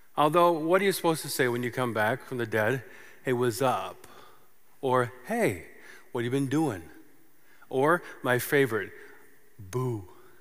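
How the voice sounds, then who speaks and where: Amid audible room echo, a man speaks in an animated tone with lively intonation at a medium pitch, his pace fairly slow with long, frequent pauses. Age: 50s. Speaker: pastor. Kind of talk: sermon.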